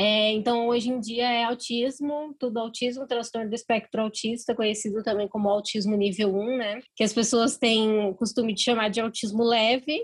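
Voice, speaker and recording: Very even loudness and a monotone, flat intonation at a moderate pace, with hardly any pauses. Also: woman, fairly high pitch for a woman. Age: 20s. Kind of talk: casual interview.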